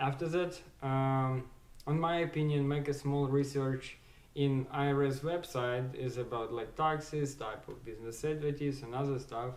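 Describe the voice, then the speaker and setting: A man's fairly high voice at a fairly slow pace, with fairly even intonation and audible room echo. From Ukraine. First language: Ukrainian or Russian. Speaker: small business owner / vlogger. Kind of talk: casual tutorial talk. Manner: halting, many fillers.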